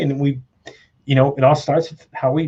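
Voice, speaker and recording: A somewhat breathy man speaks at medium pitch with monotone, flat intonation. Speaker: live show host. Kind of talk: casual conversational interview talk.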